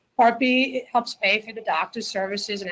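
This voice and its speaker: In a New Jersey accent, a woman talks at a fairly quick pace with ordinary pitch variation. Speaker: accountant. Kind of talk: webinar presentation. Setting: webinar.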